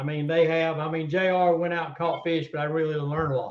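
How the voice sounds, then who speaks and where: In a Southern US accent, a man with a fairly high pitch speaks fairly quickly in a monotone, flat delivery. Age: 60s. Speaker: tournament catfish angler. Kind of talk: casual interview chat.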